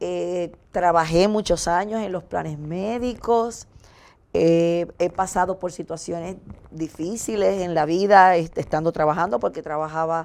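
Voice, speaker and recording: At a fairly slow pace, a woman with a plain, everyday voice speaks in a fairly low pitch with ordinary pitch variation. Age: 60s. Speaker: talk show co-host sharing testimony. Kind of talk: testimony.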